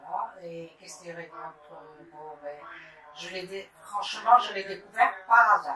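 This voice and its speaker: Noticeable background noise sits behind a woman's voice. Her loudness swings a lot, while her pitch varies in an ordinary way. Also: medium pitch for a woman, fairly slow pace. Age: 70s. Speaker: breast cancer survivor. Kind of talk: testimony. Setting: bedroom. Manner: halting.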